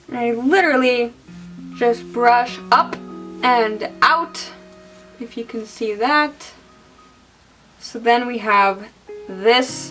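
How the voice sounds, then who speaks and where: A woman speaks very slowly at a high pitch, with ordinary pitch variation and long, frequent pauses. Music plays in the background. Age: 20s. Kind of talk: casual hair tutorial to camera. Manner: efficient, detailed, can come across as angry.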